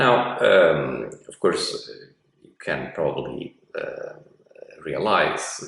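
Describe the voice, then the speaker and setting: Audible echo fills the room as a man talks very slowly. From Italy. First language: Italian. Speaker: professor. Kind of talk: lecture. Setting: online class from an apartment. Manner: halting, many fillers.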